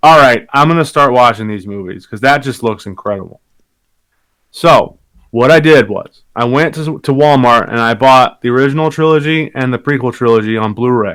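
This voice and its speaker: Mumbling, a man speaks at a medium pitch with ordinary pitch variation. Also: moderate pace. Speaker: podcast co-host. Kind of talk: casual chat.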